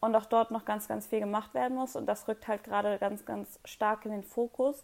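A woman with a normal speaking voice talks at a moderate pace and a fairly high pitch, with fairly even intonation. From Hamburg, northern Germany. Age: 20s. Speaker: project manager. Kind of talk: casual interview.

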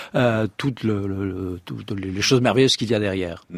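A man is speaking. He has a Provençal accent. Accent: southern French (Provençal). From Provence, southern France. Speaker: astrophysicist. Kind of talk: radio interview. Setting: studio.

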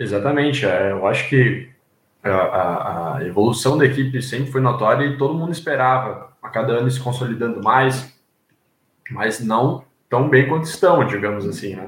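This man's voice is somewhat breathy, moving at a moderate pace with ordinary pitch variation. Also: medium pitch for a man. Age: 20s. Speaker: journalism student, new podcast panelist. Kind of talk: casual chat.

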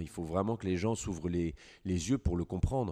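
In a very clean recording with a silent background, a man speaks with a very deep, low pitch, a dark, mellow tone and ordinary pitch variation. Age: 40s. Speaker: hunting guide. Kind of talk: interview.

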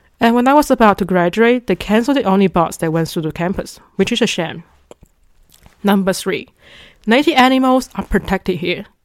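With a Chinese accent, a woman speaks at a medium pitch and a fairly quick pace, her intonation lively. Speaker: podcast host, international student. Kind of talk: scripted monologue.

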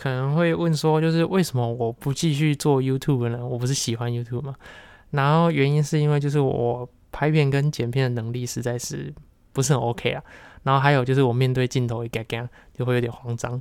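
Over a very clean recording with a silent background, a man with a Taiwanese accent speaks at a medium pitch and a fairly quick pace with fairly even intonation. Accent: Taiwanese Mandarin. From Taiwan, Kaohsiung. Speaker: podcast host. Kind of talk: solo monologue.

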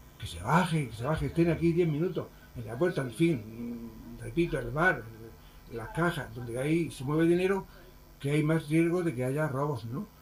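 A man's fairly high, somewhat breathy voice at a moderate pace, with ordinary pitch variation and big swings in loudness. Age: 70s. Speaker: shop owner. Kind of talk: interview. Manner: halting, repetitive.

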